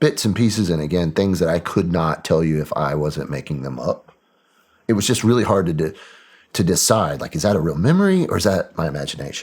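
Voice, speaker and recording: Here is a man with a Southern US accent and a very deep, low pitch. He speaks at a fairly quick pace. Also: ordinary pitch variation. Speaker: military veteran. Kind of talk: interview testimony.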